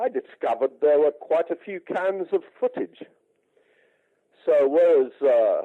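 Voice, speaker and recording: With an English accent, a man talks at a fairly slow pace, leaving long, frequent pauses. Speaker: music rights manager. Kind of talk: radio interview. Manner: halting, many fillers.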